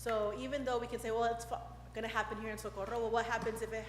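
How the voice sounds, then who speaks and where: The voice carries audible room echo along with noticeable background noise. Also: woman. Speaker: state representative. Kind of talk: public comment at council meeting. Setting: council chamber podium mic. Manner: fast.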